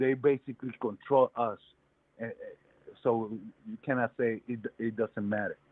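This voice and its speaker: A man talks at a fairly slow pace and medium pitch with monotone, flat intonation and big swings in loudness. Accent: New York. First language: Spanish. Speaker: caller. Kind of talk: heated debate. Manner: halting.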